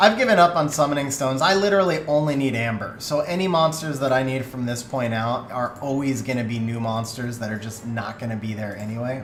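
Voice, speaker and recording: This man talks at a fairly quick pace and a medium pitch, with lively intonation. Room echo is audible. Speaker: video game streamer. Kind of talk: live stream chat. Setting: live stream. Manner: fast.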